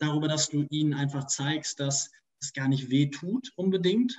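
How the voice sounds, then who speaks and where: The voice is somewhat breathy, with ordinary pitch variation. Its pace is moderate. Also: man. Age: 20s. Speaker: corporate sustainability manager. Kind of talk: interview.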